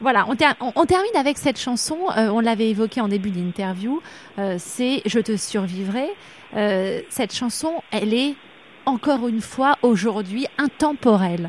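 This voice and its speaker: A woman talks at a fairly slow pace with a fairly high pitch and lively intonation. Long, frequent pauses break her speech, and background noise is noticeable. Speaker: radio interviewer. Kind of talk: interview.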